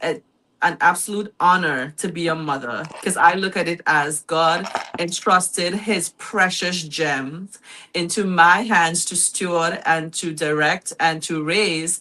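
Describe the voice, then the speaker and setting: A woman with a Trinidadian accent speaks at a fairly slow pace and a fairly low pitch. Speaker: guest mother, small business owner. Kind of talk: talk show interview.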